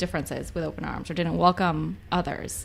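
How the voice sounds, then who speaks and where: This is a woman speaking. She has a Spanish accent. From US-Mexico border, Spanish-speaking family. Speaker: nonprofit advocacy staffer. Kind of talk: casual chat.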